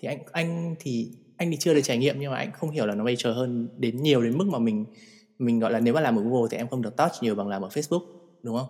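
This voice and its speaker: A very fast-talking man at medium pitch with ordinary pitch variation. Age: 30s. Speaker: podcast host. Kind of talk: casual chat.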